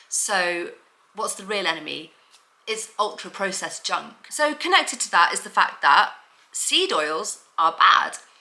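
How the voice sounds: A woman talks at medium pitch in a bright, sharp tone, her intonation lively and her pace fairly slow. Room echo is audible around her.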